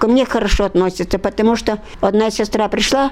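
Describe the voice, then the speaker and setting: A woman at medium pitch and moderate pace, with ordinary pitch variation over noticeable background noise. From Udmurtia, Russia. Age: 80s+. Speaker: war veteran. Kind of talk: oral history interview.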